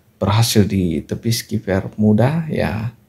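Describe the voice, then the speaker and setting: A man's voice with vocal fry and a dark, mellow tone. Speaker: football commentary youtuber. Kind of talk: match recap commentary. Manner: hesitant, frequent filler 'ya'.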